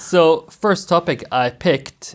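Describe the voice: At a very slow pace, a man talks with lively intonation and a fairly high pitch.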